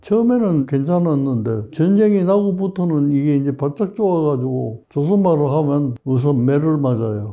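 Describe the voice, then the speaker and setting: With lively intonation and a dark, mellow tone, a man speaks at a fairly high pitch and a moderate pace, with very even loudness and hardly any pauses. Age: 80s+. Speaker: retired professor, doctor. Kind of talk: interview answer.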